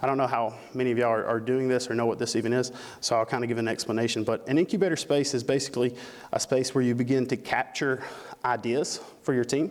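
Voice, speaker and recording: A man with a Southern US accent speaks at a very fast pace and a medium pitch. His intonation is fairly even and his loudness very even. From Alabama. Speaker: conference speaker. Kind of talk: conference talk. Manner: casual, with frequent fillers.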